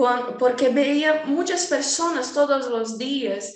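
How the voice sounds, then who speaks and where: A woman with a Portuguese accent speaks at a very slow pace, with audible room echo and noticeable background noise. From Brazil, Rio de Janeiro. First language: Portuguese (speaking Spanish). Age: 20s. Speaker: design student. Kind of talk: casual chat.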